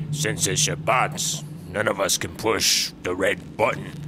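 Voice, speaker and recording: A man speaks at a fairly slow pace. Background noise is clearly audible. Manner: jovial, smarmy.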